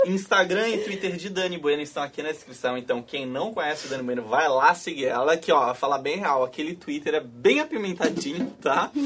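Lively intonation and a fairly quick pace mark this delivery, with hardly any pauses. There is noticeable background noise. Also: man, fairly high pitch for a man. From Florianópolis, Brazil. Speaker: podcast host. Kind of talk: casual chat on a live stream.

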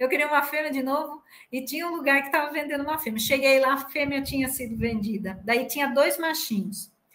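A high-pitched woman's voice with ordinary pitch variation, fairly quick and with hardly any pauses. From Piracicaba, São Paulo state, Brazil. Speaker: university professor. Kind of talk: casual chat.

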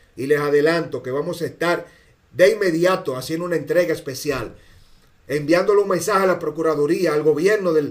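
A man with a Dominican accent, high-pitched, at a fairly quick pace. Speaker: political commentator. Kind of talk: political commentary monologue. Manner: animated.

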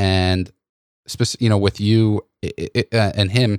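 In a very clean recording with a silent background and a dry, close sound free of echo, a man with an American accent speaks at a fairly low pitch in a flat monotone. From New York. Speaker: podcast host. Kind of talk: casual chat.

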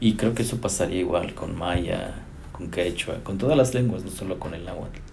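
A man talks at a moderate pace in a fairly low voice with ordinary pitch variation. His loudness swings widely, and the room echo is audible. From Chicontepec, Veracruz, Mexico. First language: Nahuatl (speaking Spanish). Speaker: language professor. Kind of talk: interview. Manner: halting, with fillers.

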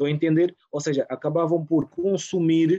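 Dry and close with no echo, a man's dark, mellow voice sits fairly high in pitch, moving at a moderate pace with monotone, flat intonation. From Portugal, Rio de Mouro (Lisbon area). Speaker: small business owner. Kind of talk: casual chat.

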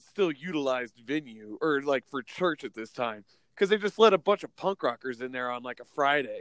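This man has a normal speaking voice with lively intonation and a moderate pace. The sound is dry and close, with no echo. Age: 30s. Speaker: punk musician, host's identical twin brother. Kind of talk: casual interview chat. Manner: casual, laughing.

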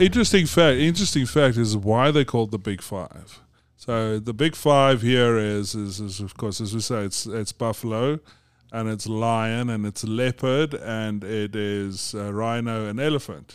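On a very clean recording with a silent background, a man with a South African accent talks at a fairly slow pace, medium in pitch, with ordinary pitch variation. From South Africa (Johannesburg). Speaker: business executive. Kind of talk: casual interview. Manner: halting, many repetitions.

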